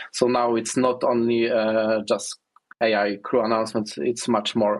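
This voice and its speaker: The speaker has a non-native accent and talks at a fairly slow pace. Intonation is monotone and flat, and loudness stays very even. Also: man, medium pitch for a man. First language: not English. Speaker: software developer. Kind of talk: interview. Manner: halting, many fillers.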